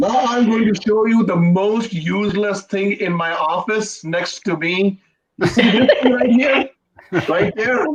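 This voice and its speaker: The speaker has an Indian accent and a fairly slow pace. Pitch variation is ordinary. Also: man, high pitch for a man. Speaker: comedian. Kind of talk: stand-up.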